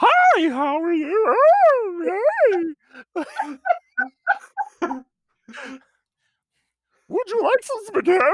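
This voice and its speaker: A put-on character voice at an extremely high pitch, very slow, with long, frequent pauses. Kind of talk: casual. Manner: chirpy, friendly.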